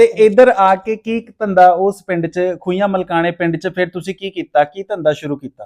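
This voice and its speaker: The sound is dry and close with no echo, the pitch shifts in an ordinary way, and the loudness swings widely. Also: man, high pitch for a man. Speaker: interviewer. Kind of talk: interview host talk.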